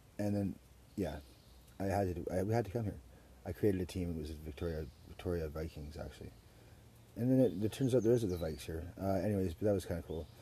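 A man with a Western Canadian accent, a very deep, low pitch, a dark, mellow, somewhat breathy tone and ordinary pitch variation, at a very fast pace with long, frequent pauses. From Surrey, British Columbia, Canada. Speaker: podcast host. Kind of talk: casual chat. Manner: animated.

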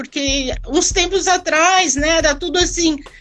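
The speaker talks at a fairly slow pace against noticeable background noise. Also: woman. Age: 50s. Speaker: carnival percussion group member. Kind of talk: casual interview.

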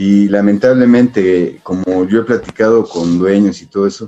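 Speaking at a fairly slow pace, a man talks with a Mexico City accent. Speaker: American football superfan. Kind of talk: casual chat.

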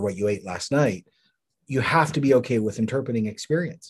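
Over a quiet background, a man talks at a fairly quick pace with a Canadian accent. He has a plain, everyday voice with ordinary pitch variation. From Canada. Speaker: pastor. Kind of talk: interview.

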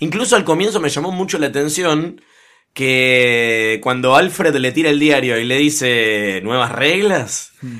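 A man speaks with a Rioplatense accent at a fairly slow pace, his fairly high voice bright and sharp with lively intonation. The recording is very clean, with a silent background. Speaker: podcast host. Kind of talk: casual chat.

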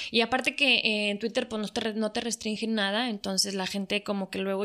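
Her tone bright and sharp, a woman speaks at a medium pitch and moderate pace in a flat monotone. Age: 40s. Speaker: social media influencer. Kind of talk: casual interview chat.

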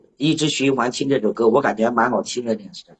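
A man is speaking. His voice is somewhat breathy. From Anhui, China. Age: 30s. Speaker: call-in listener. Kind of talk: casual chat. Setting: live-stream voice call. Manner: stuttering, repeats words.

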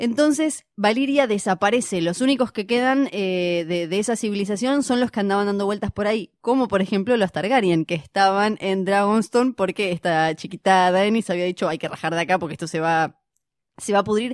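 Recorded very cleanly against a silent background, a woman with an unremarkable speaking voice talks at a fairly quick pace with ordinary pitch variation. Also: medium pitch for a woman, dry, close sound with no echo. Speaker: podcast co-host. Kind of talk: casual chat.

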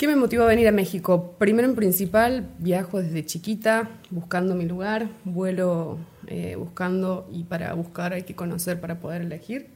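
A woman with an unremarkable speaking voice talks at a moderate pace with hardly any pauses, ordinary pitch variation and big swings in loudness. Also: medium pitch for a woman. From Argentina, Córdoba province (Río Ceballos). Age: 20s. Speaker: guest, community volunteer. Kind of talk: casual interview.

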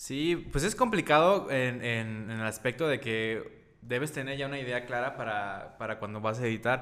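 A man speaks. He has a Mexican accent. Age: 20s. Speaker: videographer and photographer. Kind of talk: casual interview.

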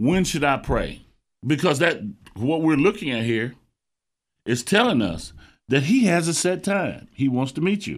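Using very wide pitch swings and vocal fry, a man with an American accent and a fairly high pitch speaks at a moderate pace in a very clean recording with a silent background. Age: 60s. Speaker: preacher. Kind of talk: sermon.

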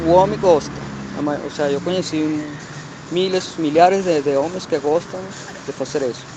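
A fairly high-pitched man at a moderate pace, with long, frequent pauses and noticeable background noise. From Portugal. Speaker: internet personality. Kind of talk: casual interview. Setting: outdoors on a call. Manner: halting, mixes Spanish and Portuguese. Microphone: muffled audio.

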